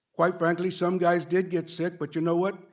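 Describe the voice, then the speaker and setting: In an American accent, a man talks at a moderate pace. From Los Angeles, Boyle Heights. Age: 60s. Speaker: union representative. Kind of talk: public comment at a board meeting. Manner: halting with repetitions.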